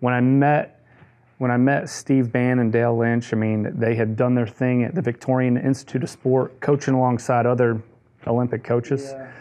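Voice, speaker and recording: With an American accent, a man speaks at a moderate pace and medium pitch in a monotone, flat intonation. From US Midwest, Detroit, Michigan. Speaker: golf coach. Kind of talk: casual interview chat.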